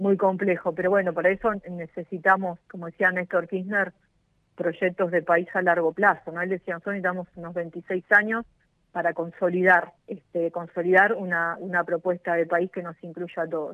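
A woman talks at a fairly low pitch in a monotone, flat intonation. Her loudness swings widely. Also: moderate pace. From Argentina, Moreno (Buenos Aires province). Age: 40s. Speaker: mayor, politician. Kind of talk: radio interview.

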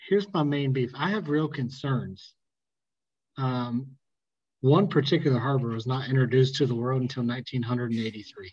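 Speaking in a Southern US accent at a moderate pace, a man sounds somewhat breathy, with ordinary pitch variation. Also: medium pitch for a man. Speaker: podcast host. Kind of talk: casual chat.

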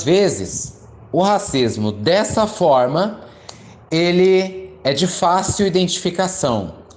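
A man with a high pitch speaks at a very slow pace. Echo from the room is audible. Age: 20s. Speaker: geography teacher. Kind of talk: lecture.

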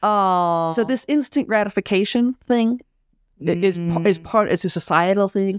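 On a very clean recording with a silent background and a dry, close sound with no echo, a woman in a plain, everyday voice speaks at a moderate pace, her medium pitch showing ordinary variation and her loudness very even. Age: 50s. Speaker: financial planner and tax consultant. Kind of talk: casual podcast interview.

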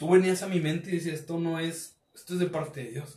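Audible room echo surrounds a man speaking at a moderate pace in a fairly high voice. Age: 30s. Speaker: church youth leader. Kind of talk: casual chat.

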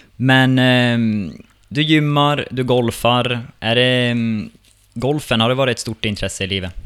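In a plain, everyday voice, a man talks at a fairly slow pace and medium pitch, with ordinary pitch variation. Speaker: podcast host. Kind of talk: interview, casual.

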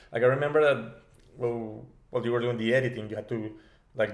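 A man with a Spanish accent talks at a very fast pace. His pitch is medium and his intonation fairly even. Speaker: podcast co-host. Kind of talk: casual chat.

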